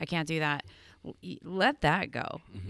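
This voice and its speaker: A woman with a Pennsylvania accent and a very deep, low pitch, on a very clean recording with a silent background. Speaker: fitness coach and podcast co-host. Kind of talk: casual chat. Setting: studio.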